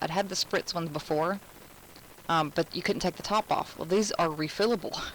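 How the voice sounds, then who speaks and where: Against noticeable background noise, a woman with an American accent speaks at a moderate pace, her pitch fairly low with ordinary variation. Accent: Southern US, toned down, thicker when nervous. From Alabama. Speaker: craft instructor. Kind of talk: live craft tutorial. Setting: live stream. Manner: casual, chatty.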